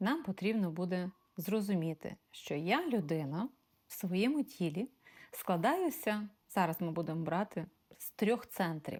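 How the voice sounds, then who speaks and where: A woman's medium-pitched voice, an ordinary speaking voice, at a fairly slow pace with lively intonation and big swings in loudness. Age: 40s. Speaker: life coach. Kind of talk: self-presentation to prospective clients.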